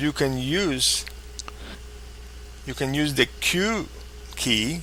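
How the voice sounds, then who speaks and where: Noticeable background noise fills the recording. Beneath it, a man speaks very slowly. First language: not English. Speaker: flight simulator tutorial maker. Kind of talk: tutorial. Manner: halting.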